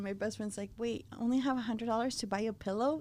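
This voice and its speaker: A woman with a Spanish accent, fairly high-pitched, at a very fast pace. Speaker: floral designer. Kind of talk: interview conversation. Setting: podcast recording.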